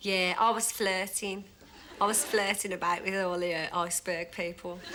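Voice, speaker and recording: Over noticeable background noise, a woman with a Birmingham accent speaks at a moderate pace and medium pitch in a monotone, flat intonation. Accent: Birmingham (Brummie). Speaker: dating show contestant. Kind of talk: interview recollection.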